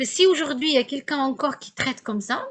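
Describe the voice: A woman's high-pitched voice with lively intonation. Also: fairly quick pace.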